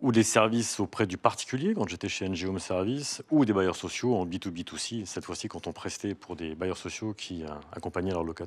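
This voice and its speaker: A man with a very deep, low pitch talks at a fairly quick pace with hardly any pauses and ordinary pitch variation. The recording is very clean with a silent background. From Corsica. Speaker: company executive. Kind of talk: interview.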